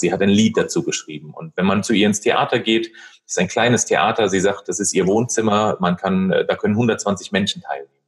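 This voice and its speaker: At a moderate pace, a man with a fairly low pitch and an unremarkable speaking voice talks with lively intonation. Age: 30s. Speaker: retail manager and coach. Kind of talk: podcast interview. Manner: many filler sounds (ähm, äh).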